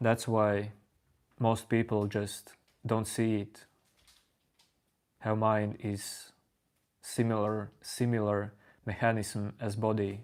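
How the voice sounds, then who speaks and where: Quiet and calm, a man speaks at a very slow pace in a fairly low pitch with monotone, flat intonation. Long, frequent pauses break up his speech in a very clean recording with a silent background. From Latvia. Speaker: spiritual teacher streaming live. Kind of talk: live stream talk answering chat. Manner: calm, unhurried.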